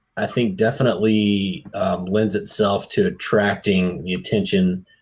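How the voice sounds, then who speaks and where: The recording is very clean, with a silent background. The speaker has an American accent and talks fairly slowly with fairly even intonation. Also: man. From US South, South Mississippi. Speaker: podcast host. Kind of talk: casual interview.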